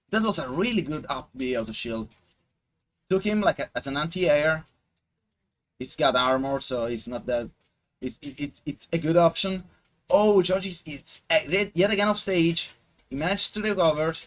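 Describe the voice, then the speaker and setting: A man with an Italian accent, lively intonation, a moderate pace and long, frequent pauses. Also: fairly high pitch for a man. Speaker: esports commentator. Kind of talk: live commentary. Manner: halting.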